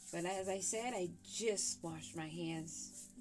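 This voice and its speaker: Music in the background and audible room echo around a woman's voice. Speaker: tarot reader. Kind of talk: tarot reading. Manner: casual, chatty.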